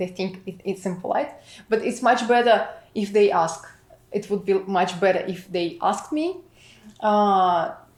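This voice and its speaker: A woman with a Russian accent, at a moderate pace. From Russia, St Petersburg. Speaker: immigrant product manager. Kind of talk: interview. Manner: halting, many fillers.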